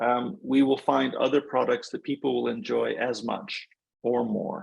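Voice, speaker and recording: Speaking at a fairly slow pace, a man has an American accent. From United States. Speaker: environmental NGO expert. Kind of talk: webinar Q&A answer.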